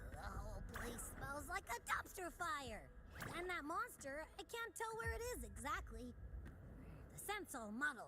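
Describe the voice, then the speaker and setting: A put-on character voice comes through at a high pitch and moderate pace. Background noise is clearly audible. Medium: video game. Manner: playful, chirpy.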